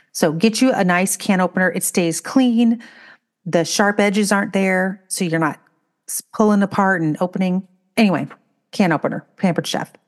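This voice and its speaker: A woman speaks at medium pitch and a moderate pace, with ordinary pitch variation, against a quiet background. It is an unremarkable speaking voice. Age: 50s. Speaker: podcast co-host. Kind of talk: casual chat.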